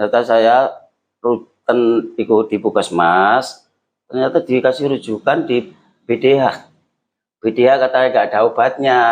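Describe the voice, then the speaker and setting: Speaking at a fairly slow pace, a man uses a normal speaking voice with medium pitch and ordinary pitch variation. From East Java (Lamongan). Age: 50s. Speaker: tuberculosis survivor. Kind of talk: interview testimony.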